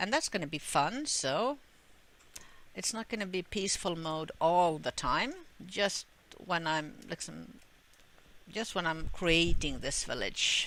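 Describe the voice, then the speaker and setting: Using a Swedish accent, a woman speaks slowly-ish with long, frequent pauses, a bright, sharp tone and a fairly low pitch. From Sweden. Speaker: gamer. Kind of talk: gameplay commentary. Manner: halting, many fillers.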